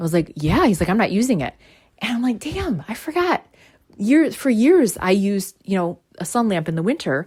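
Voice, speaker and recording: A woman of medium pitch, somewhat breathy, animated in tone, with very wide pitch swings. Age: 40s. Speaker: spiritual podcast host. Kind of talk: casual monologue. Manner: fast.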